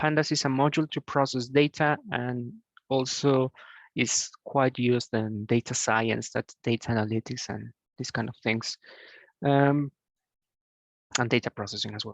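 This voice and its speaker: The speaker has a Spanish accent and a moderate pace with long, frequent pauses. The sound is dry and close with no echo, against a quiet background. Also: man, medium pitch for a man. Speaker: programming tutor. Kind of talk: tutorial. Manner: halting, many fillers.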